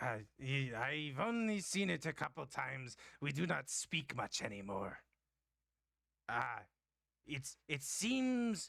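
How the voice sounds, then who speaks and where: A raspy, put-on character voice from a man at a fairly high pitch, fairly slow with long, frequent pauses, in a very clean recording with a silent background. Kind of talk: old-fashioned formal speech. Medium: actual play. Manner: formal, halting and stammering.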